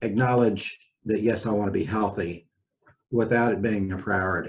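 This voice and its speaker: The speech moves at a fairly slow pace. The voice is somewhat breathy. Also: man. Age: 60s. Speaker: physician. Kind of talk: casual interview chat.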